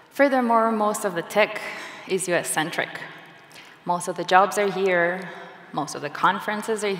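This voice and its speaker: A woman's medium-pitched voice with a non-native accent, long, frequent pauses, audible room echo and noticeable background noise. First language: not English. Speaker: software engineer and conference speaker. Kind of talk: conference talk. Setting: stage with audience.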